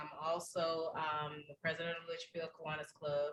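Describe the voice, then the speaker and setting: A woman speaks with a Southern US accent at a moderate pace. Her tone is bright and sharp, her pitch fairly low. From Alabama. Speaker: service club officer. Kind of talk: self-introduction at a meeting.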